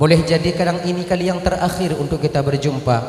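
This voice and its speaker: Against noticeable background noise and audible room echo, a man with a high pitch talks at a moderate pace. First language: Acehnese (speaking Indonesian). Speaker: Islamic preacher. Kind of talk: sermon.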